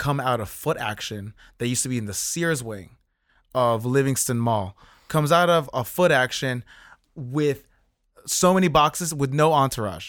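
Over a very clean recording with a silent background, a man with an American accent has a fairly high pitch and ordinary pitch variation, an unremarkable speaking voice. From New Jersey (South Orange). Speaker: design executive and illustrator. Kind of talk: interview conversation. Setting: in office.

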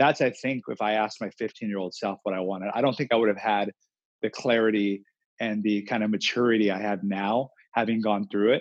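With a normal speaking voice, a man of fairly low pitch talks at a fairly quick pace and fairly even intonation. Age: 20s. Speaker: entrepreneur. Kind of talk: interview.

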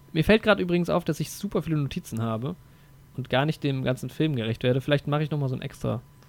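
A man talks at a very fast pace, his pitch fairly high with ordinary pitch variation. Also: long, frequent pauses. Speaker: film podcast host. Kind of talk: casual chat.

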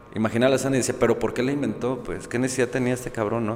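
A man talks very fast while noticeable noise fills the background. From Mexico, Guadalajara. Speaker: philosophy teacher and editor. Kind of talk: casual conversation.

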